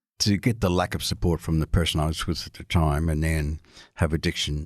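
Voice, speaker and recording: Talking at a fairly quick pace, a man with a very deep, low pitch and ordinary pitch variation comes through on a very clean recording against a silent background. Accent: Australian. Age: 60s. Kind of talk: interview.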